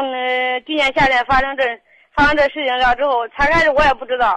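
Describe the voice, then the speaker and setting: A woman's high voice at a fairly quick pace, fairly even in intonation, with a dry, close sound and no echo. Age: 30s. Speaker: caller seeking marriage advice. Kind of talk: call-in advice conversation. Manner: halting, repetitive; loud.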